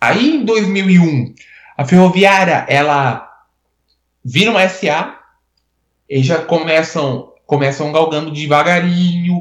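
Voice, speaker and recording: A man's high voice, with ordinary pitch variation, comes out at a very slow pace broken by long, frequent pauses. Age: 20s. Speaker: sports journalist. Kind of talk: casual chat. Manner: halting, many repetitions.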